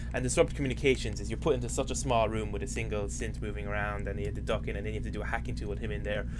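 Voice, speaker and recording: Very fast and monotone, a man talks in a very deep, low pitch, with audible room echo around him. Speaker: video game let's player. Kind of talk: casual gameplay commentary. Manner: casual, with fillers and self-corrections.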